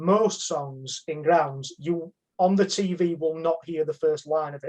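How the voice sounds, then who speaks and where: With a high pitch, a man talks at a fairly slow pace. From northern England, Sheffield. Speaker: football fan. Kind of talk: casual chat.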